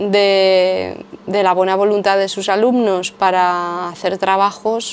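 A woman's medium-pitched voice stays monotone and flat as she talks at a fairly slow pace. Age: 30s. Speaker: former yoga teacher and video creator. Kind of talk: casual monologue to camera.

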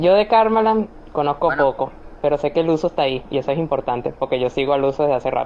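Someone with a Venezuelan accent speaks at a very fast pace. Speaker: podcast host. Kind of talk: casual chat. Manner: animated.

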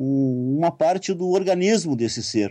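A man speaks with a dark, mellow tone at a fairly high pitch and a fairly slow pace. His pitch varies in an ordinary way over a quiet background. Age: 50s. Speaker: writer and occultist. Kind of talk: interview.

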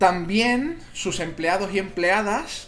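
A man's high-pitched, animated voice with audible room echo. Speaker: video game streamer and podcaster. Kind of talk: casual chat. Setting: live stream. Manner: animated, laughing.

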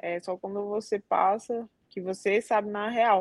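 In a strong Cearense accent, a woman with a fairly high pitch speaks in a monotone, flat intonation, with a dry, close sound and no echo. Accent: Cearense (Ceará) accent, strong. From Brazil, Northeast (Fortaleza, Ceará). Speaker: Brazilian jiu-jitsu athlete. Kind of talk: interview.

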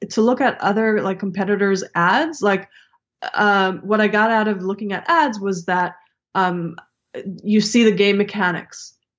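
Her pitch medium, a woman speaks at a fairly slow pace. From Israel (Tel Aviv), moved to US at ten. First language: Hebrew. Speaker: game developer and former comedian. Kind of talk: interview conversation.

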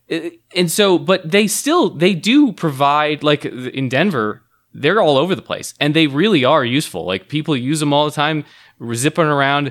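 The speaker uses a plain, everyday voice with lively intonation at a moderate pace. The recording is very clean, with a silent background. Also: man, fairly high pitch for a man. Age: 40s. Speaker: podcast co-host. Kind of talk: casual chat.

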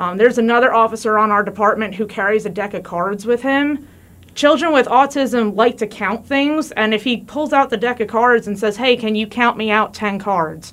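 A woman's voice, an unremarkable speaking voice, sits at a fairly high pitch, moving at a moderate pace and showing ordinary pitch variation. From New Jersey. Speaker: police officer. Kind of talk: interview. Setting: studio.

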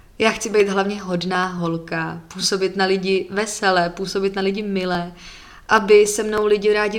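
In a medium pitch, a woman talks with monotone, flat intonation. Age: 20s. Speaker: podcaster. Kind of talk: casual personal monologue.

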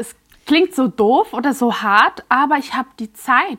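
A woman's high voice, very slow, with very wide swings in pitch. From Switzerland, near Basel. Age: 30s. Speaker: influencer and mother. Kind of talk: personal testimony.

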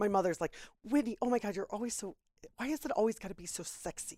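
An ordinary speaking voice with an American accent moves at a fairly quick pace with lively intonation. The recording is very clean, with a silent background and a dry, close sound with no echo. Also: woman. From Florida. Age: 40s. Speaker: podcast guest. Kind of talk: casual chat.

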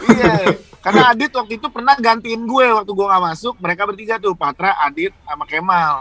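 Over noticeable background noise, a man with a high pitch talks in a raised, projected voice at a fairly quick pace with lively intonation. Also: dry, close sound with no echo. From Surabaya, East Java. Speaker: radio announcer and podcaster. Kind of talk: casual chat.

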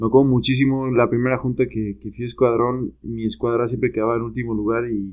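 This man speaks very fast in a monotone, flat intonation at a medium pitch. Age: 30s. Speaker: urban development professional. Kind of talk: casual chat.

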